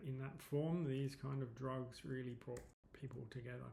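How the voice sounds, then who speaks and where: Audible room echo surrounds a man speaking with an English accent. His intonation is monotone and flat at a medium pitch. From England, London. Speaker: psychedelics advocate and presenter. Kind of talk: presentation. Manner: hesitant, many fillers.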